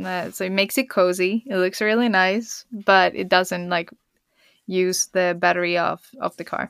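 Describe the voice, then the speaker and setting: With a Swedish accent, the speaker moves at a moderate pace and keeps the intonation fairly even, the sound dry and close with no echo. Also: woman, medium pitch for a woman, very clean recording, silent background. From Sweden. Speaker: pro skier and surfer. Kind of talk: interview.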